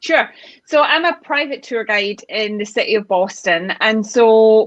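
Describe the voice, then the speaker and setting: A woman's bright, sharp voice, fairly high in pitch, with ordinary pitch variation, a moderate pace and a dry, close sound with no echo. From Scotland, Glasgow. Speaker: private tour guide. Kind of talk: interview.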